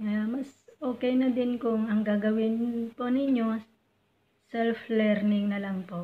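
A woman with a fairly high pitch speaks at a very slow pace in a flat monotone. Her tone is dark and mellow, and somewhat breathy. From Philippines. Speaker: overseas domestic worker and YouTuber; YouTuber. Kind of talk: tutorial. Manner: polite, uses po. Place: home room. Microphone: phone near.

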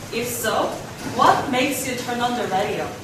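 Over noticeable background noise and a strong room echo, a woman speaks at a moderate pace with a high pitch. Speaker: student event presenter. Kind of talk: formal speaker introduction. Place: meeting room. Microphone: camera far.

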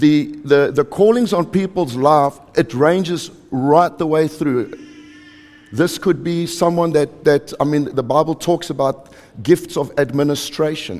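Pitch variation is ordinary. The delivery is fairly slow. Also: man. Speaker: preacher. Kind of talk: sermon. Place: church.

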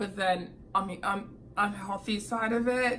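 At a fairly slow pace, a woman speaks at medium pitch with a fairly bright tone and fairly even intonation.

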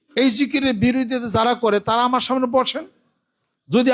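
An extremely high-pitched man's voice with fairly even intonation. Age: 60s. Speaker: pir, Islamic preacher. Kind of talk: Friday sermon.

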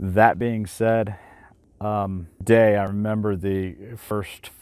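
A man speaks at a very slow pace with fairly even intonation, his voice dry with no echo against a quiet background. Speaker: gear reviewer. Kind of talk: product review talk. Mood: relaxed, conversational. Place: waterside.

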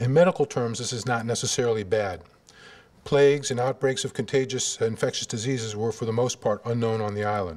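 The speaker talks at a fairly quick pace with an American accent and ordinary pitch variation. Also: man, medium pitch for a man. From US Midwest, Cleveland, Ohio; Ohio. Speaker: surgeon giving a lecture. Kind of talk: lecture. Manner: halting, many fillers. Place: hall. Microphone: podium.

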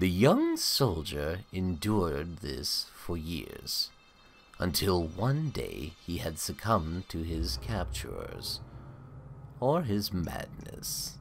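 A man speaks in a put-on character voice, pitched very deep and low. His pace is very slow. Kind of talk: horror narration. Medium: read story. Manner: ominous, sardonic.

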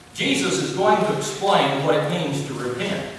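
Strong room echo surrounds a man with a fairly high pitch, a fairly bright tone and lively intonation.

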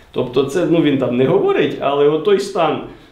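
The man's voice is fairly high in pitch and very slow. Audible room echo surrounds it. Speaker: philosophy expert. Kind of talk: group book discussion. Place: meeting room. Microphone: camera far.

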